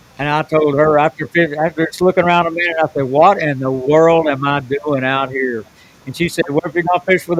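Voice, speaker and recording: A fairly high-pitched man with a Southern US accent at a fairly quick pace, with fairly even intonation. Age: 70s. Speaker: professional bass angler. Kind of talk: casual chat. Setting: podcast.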